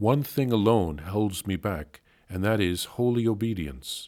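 A man at a fairly slow pace in a solemn tone, very clean recording, silent background. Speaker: priest reading a diary aloud. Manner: earnest, solemn and devout, with intensity building in the pleading, resolute lines.

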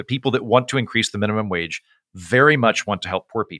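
A man with an American accent speaks at a very fast pace in a bright, sharp tone, recorded dry and close with no echo, very clean and with a silent background. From Oklahoma. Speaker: comedian and author. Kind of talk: casual interview.

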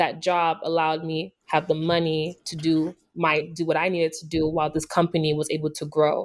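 Here a woman speaks very deep and low, monotone and flat, at a moderate pace. The recording is very clean, with a silent background. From Nigeria. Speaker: beauty entrepreneur. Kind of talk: interview.

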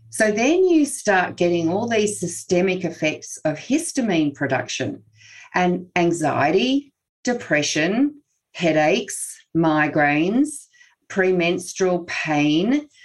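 Delivered at a very slow pace with an Australian accent, the voice swings very widely in pitch while its loudness stays very even, over a very clean recording with a silent background. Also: woman, fairly low pitch for a woman. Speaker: naturopath and health researcher. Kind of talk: expert interview.

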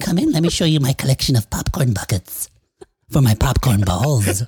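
A man puts on a character voice, talking at a medium pitch and a moderate speed.

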